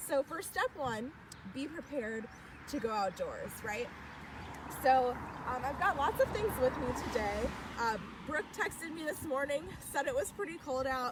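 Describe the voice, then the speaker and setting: A woman speaks loudly in an upbeat tone, high in pitch with very wide pitch swings. Her pace is moderate with long, frequent pauses, and there is noticeable background noise. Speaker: youth program leader. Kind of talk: live outdoor tutorial. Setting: outdoors in a park.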